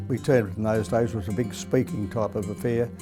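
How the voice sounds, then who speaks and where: Against music in the background, a man with a fairly low pitch speaks very fast in an enthusiastic tone with ordinary pitch variation. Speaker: retired race caller. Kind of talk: interview answer. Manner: fluent, reflective, enthusiastic.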